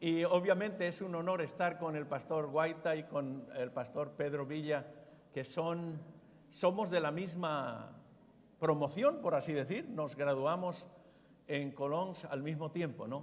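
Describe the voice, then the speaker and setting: Fairly slow speech from a man at a fairly high pitch, with ordinary pitch variation and audible room echo. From Spain, Zaragoza. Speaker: pastor. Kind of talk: sermon.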